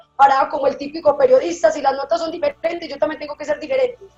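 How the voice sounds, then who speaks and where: This woman speaks with a paisa Colombian accent. Her voice has a high pitch. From Colombia, Antioquia (paisa). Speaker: television reporter. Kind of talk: interview. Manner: casual, conversational.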